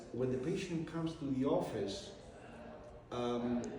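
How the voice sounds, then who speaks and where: A man with a Spanish accent is heard with audible room echo and noticeable background noise. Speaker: medical doctor and university president. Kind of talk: interview. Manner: halting.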